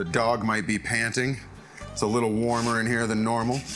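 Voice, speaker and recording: Fairly quick speech over clear background music. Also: man. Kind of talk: tutorial. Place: kitchen.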